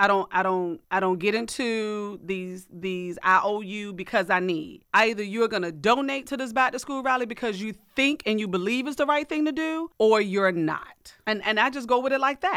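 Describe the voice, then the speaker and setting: With an American accent, a woman speaks at a moderate pace in an animated tone with lively intonation and hardly any pauses, on a very clean recording with a silent background. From rural Virginia. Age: 40s. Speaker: nonprofit founder and school board member. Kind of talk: radio interview. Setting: radio studio.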